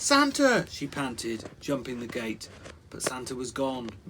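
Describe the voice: The speaker delivers plain reading aloud.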